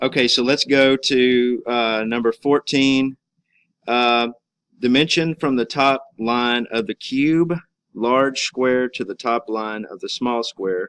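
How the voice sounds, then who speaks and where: A man at medium pitch speaks at a very slow pace with ordinary pitch variation, in a dry, close sound with no echo. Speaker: teacher. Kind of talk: tutorial. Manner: casual, halting with fillers.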